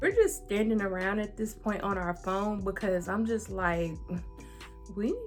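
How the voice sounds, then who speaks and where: A woman with an American accent speaks at a medium pitch with ordinary pitch variation, her voice carrying audible room echo over music in the background. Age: 20s. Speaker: YouTuber. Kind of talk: storytelling. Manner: casual.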